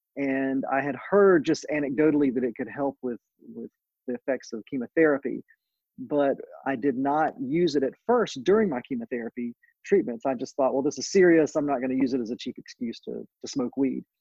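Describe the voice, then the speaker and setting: A plain, everyday voice from a man, fairly high in pitch, with ordinary pitch variation and a fairly quick pace. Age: 40s. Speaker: cannabis attorney. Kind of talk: interview.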